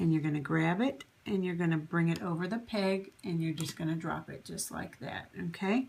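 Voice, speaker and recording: At a moderate pace, a woman with an unremarkable speaking voice talks at a fairly low pitch. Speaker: crafting tutorial channel host. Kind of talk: tutorial. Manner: conversational, instructive, with fillers.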